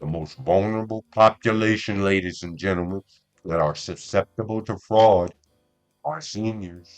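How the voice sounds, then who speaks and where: A man with a fairly low pitch talks at a moderate pace over background music, showing ordinary pitch variation and big swings in loudness in a dry, close sound with no echo. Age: 60s. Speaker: podcast host. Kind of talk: monologue podcast. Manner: frequent stammering repetitions; animated.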